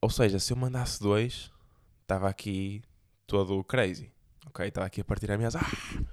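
With a European Portuguese accent, a man at a fairly low pitch speaks at a moderate pace with ordinary pitch variation and long, frequent pauses, on a very clean recording with a silent background. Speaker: podcast host. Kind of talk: casual monologue.

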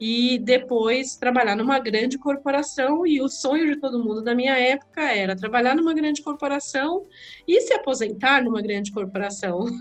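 The pitch is high for this woman. It varies in an ordinary way. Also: moderate pace. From Brazil, São Paulo area (Diadema), born in Alagoas. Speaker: entrepreneur, founder of a women's business network. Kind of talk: interview. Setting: remote recording from home.

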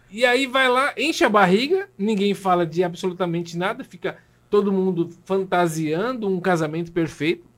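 This man has a high-pitched voice with ordinary pitch variation. He talks at a moderate pace. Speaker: pastor, podcast host. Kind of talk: casual interview chat.

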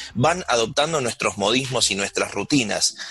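Using an ordinary speaking voice, a man talks at a medium pitch and moderate pace, with ordinary pitch variation. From Argentina. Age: 40s. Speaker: radio host. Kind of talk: radio interview; radio show announcement. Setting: radio studio.

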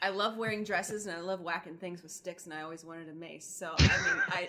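Over noticeable background noise, a woman rattles along very fast. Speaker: podcast co-host. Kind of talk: casual chat. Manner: animated.

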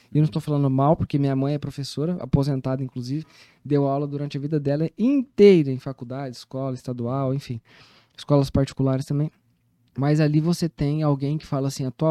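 Fairly high-pitched yet dark and mellow in tone, a man talks at a fairly quick pace with fairly even intonation in a dry, close sound with no echo. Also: quiet background. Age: 30s. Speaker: mentor and business coach. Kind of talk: casual interview. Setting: studio.

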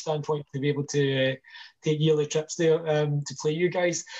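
A somewhat breathy voice with monotone, flat intonation at a fairly quick pace. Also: man. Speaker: podcast host. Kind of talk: casual chat.

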